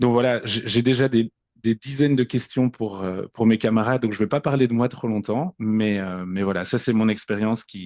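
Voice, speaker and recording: A man speaks at medium pitch and a moderate pace. The intonation remains fairly even. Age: 40s. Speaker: podcast guest sharing personal story. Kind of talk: personal testimony. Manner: halting, many repetitions and fillers.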